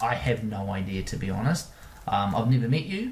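With an Australian accent, a man talks over noticeable background noise. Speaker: podcast host and performance coach. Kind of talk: podcast monologue and Q&A answers. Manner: friendly, conversational.

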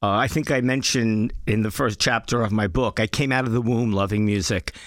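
Here a man talks at a moderate pace. The recording is very clean, with a silent background. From Brooklyn, New York. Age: 60s. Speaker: former record label executive. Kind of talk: interview. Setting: studio.

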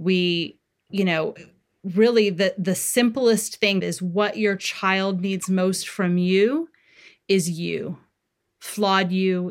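A woman speaks in an ordinary speaking voice at a medium pitch with ordinary pitch variation. The recording is very clean, with a silent background. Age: 40s. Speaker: parenting author. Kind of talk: interview.

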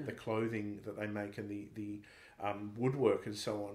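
A man speaks with an Australian accent at a medium pitch. Room echo is audible. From Australia, Sydney. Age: 30s. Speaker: Anglican priest and comedian. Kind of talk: interview conversation.

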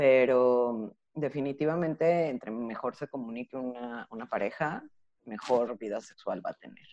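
Her pitch very deep and low, a woman with a dark, mellow tone speaks at a fairly slow pace, with ordinary pitch variation, big swings in loudness, and a dry, close sound with no echo. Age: 30s. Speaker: psychologist and sex educator. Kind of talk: interview.

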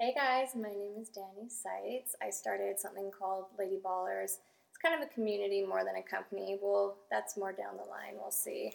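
Speaking at a moderate pace with hardly any pauses, a woman in a Canadian accent shows big swings in loudness. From Canada. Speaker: model and community founder. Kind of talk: casual interview chat.

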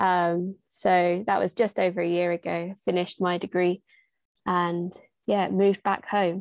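In a southern English accent, a woman with a fairly low voice talks at a fairly slow pace in a monotone, flat delivery, the sound dry and close with no echo against a quiet background. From southern England, Hertfordshire. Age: 20s. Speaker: youth charity volunteer. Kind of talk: casual interview.

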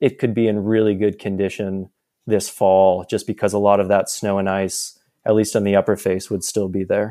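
At a moderate pace, a man with an American accent speaks in a dark, mellow tone on a very clean recording with a silent background. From Boston area and India. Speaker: alpine climber. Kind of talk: casual interview.

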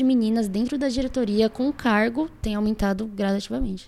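A plain, everyday voice belongs to a woman with fairly high pitch and fairly even intonation. She talks at a moderate pace in a very clean recording with a silent background. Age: 20s. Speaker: student athletics association president. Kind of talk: casual interview. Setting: in-person studio interview.

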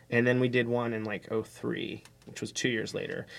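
The speaker has an American accent, on a very clean recording with a silent background. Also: man. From US, Pittsburgh. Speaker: podcast host and musician. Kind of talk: casual chat. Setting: rehearsal space.

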